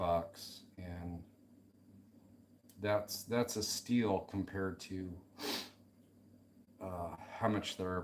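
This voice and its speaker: Monotone, flat intonation marks this man's speech. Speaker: slot car hobbyist streaming a build. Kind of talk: casual live-stream chat while working. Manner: mumbling to himself at times.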